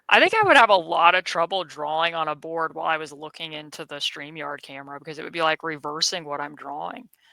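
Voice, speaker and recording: Speaking very fast with hardly any pauses, a woman has a very deep, low pitch, fairly even intonation, a bright, sharp tone and big swings in loudness. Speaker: basketball analyst, podcast host. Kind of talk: casual chat.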